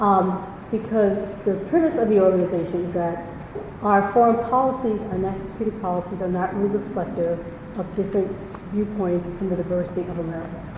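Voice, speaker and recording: Amid noticeable background noise and audible room echo, a woman talks at a very fast pace. Her intonation is fairly even. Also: medium pitch for a woman. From New York. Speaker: former diplomat and nonprofit founder. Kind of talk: public talk. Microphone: too quiet, then handheld mic.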